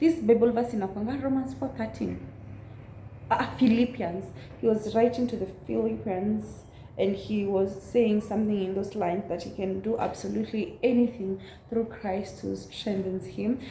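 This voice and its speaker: A woman with a Kenyan accent speaks at a medium pitch and a moderate pace. Her pitch varies in an ordinary way, with audible room echo. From central Kenya. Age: 20s. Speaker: YouTuber. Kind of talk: casual chat.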